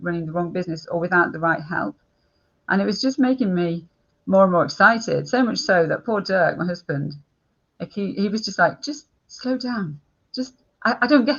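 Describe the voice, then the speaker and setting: A woman speaks with lively intonation, somewhat breathy. Her loudness swings widely. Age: 60s. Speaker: business coach. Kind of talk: interview conversation.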